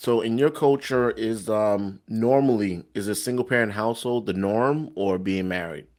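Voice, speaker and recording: A man talks with a New York accent. His pitch varies in an ordinary way. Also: very clean recording, silent background. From New York City, Brooklyn. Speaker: interviewer. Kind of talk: interview.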